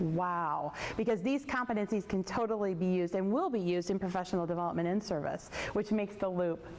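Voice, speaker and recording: A woman talks at a very fast pace, her loudness very even and her pitch varying in an ordinary way. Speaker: early childhood professor. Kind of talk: workshop discussion.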